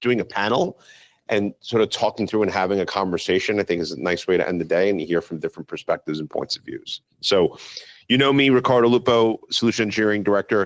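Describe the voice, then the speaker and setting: Talking at a very fast pace with a New York accent, a man with a fairly low pitch and ordinary pitch variation comes through in a dry, close sound with no echo. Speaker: panel moderator. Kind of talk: panel discussion.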